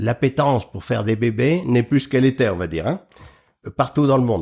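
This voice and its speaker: Though he leaves long, frequent pauses, a man speaks at a fairly quick pace with a medium pitch, vocal fry, and lively intonation on a very clean recording with a silent background. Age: 70s. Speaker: agriculture expert and public speaker. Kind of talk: interview.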